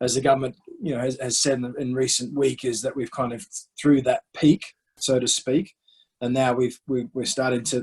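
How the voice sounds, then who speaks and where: Speaking with an Australian accent, a man has a medium pitch, a somewhat breathy quality and fairly even intonation, at a moderate pace in a dry, close sound with no echo. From Western Australia, Perth. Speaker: cricket director, former professional cricketer. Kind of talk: interview. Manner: halting, many repeated words.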